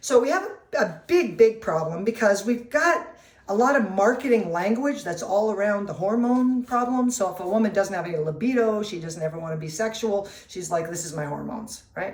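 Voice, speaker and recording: With hardly any pauses, a medium-pitched woman talks with lively intonation and big swings in loudness. Noticeable background noise and audible room echo fill the recording. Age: 60s. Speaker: nutritionist. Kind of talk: casual talk to camera. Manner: conversational with fillers.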